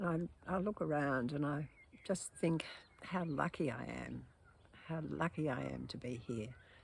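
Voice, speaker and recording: Speaking at a moderate pace with long, frequent pauses, a woman talks with an Australian accent. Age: 80s+. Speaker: poet and video blogger. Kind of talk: casual monologue. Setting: outdoors in garden. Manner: halting, with hesitations.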